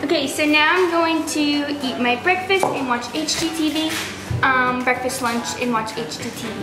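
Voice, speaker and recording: A woman speaks in a raised, projected voice at a moderate pace with ordinary pitch variation, with noticeable background noise behind her. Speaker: lifestyle vlogger. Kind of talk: casual vlog chat.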